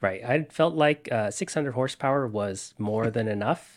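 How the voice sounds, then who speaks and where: A man with a plain, everyday voice talks at medium pitch with ordinary pitch variation. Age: 20s. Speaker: software developer and electric car owner. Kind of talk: interview.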